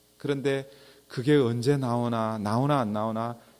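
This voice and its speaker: This man talks with ordinary variation in his pitch. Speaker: pastor. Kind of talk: sermon. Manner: slow.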